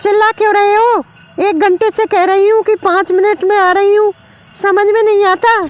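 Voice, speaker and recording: In a put-on character voice with extremely high pitch, a woman speaks at a moderate pace in a monotone, flat intonation, with very even loudness and a dry, close sound that has no echo. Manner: angry, annoyed.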